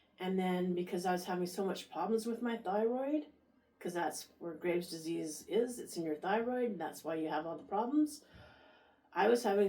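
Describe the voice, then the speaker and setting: Noticeable background noise runs beneath speech whose pitch moves in an ordinary way. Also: woman. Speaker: vlogger sharing health experience. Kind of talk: casual personal vlog. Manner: halting.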